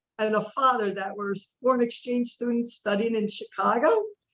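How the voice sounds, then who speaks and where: This woman has an unremarkable speaking voice, a fairly high pitch, fairly even intonation, and a moderate pace. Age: 60s. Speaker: carnivore diet follower. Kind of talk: interview.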